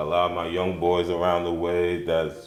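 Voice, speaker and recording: A man's very deep, low voice amid audible room echo, with music in the background. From Liberia. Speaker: rapper. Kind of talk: interview. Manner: casual.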